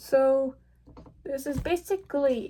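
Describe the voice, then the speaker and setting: Very slow pace with ordinary pitch variation. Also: woman. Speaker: vlogger. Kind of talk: unscripted casual vlog monologue. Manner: halting, many fillers and restarts.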